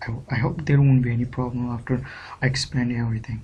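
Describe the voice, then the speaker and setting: Somewhat breathy and dark, mellow in tone, a man speaks with flat, monotone intonation amid audible room echo. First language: Urdu. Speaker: English teacher. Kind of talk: tutorial. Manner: hesitant, frequent fillers (uh, okay).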